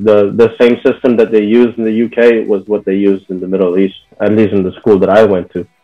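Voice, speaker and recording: A man with a fairly low voice talks at a fairly quick pace with hardly any pauses. His intonation is monotone and flat, and music plays in the background. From Bahrain, Filipino family. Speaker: interviewee sharing his culture. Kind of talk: interview. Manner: casual with many fillers.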